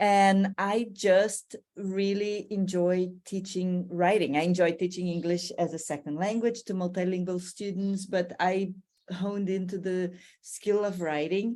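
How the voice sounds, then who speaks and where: A woman speaks with a Brazilian accent at a medium pitch, with a dark, mellow tone. Her pace is fairly slow and her intonation is monotone and flat. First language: Portuguese. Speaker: language teacher. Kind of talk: podcast interview.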